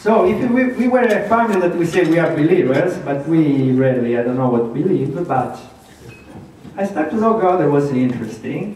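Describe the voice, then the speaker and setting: Lively intonation and a slight Italian accent mark this fairly slow speech, heard with audible room echo and noticeable background noise. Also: man. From Italy. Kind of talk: testimony. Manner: halting.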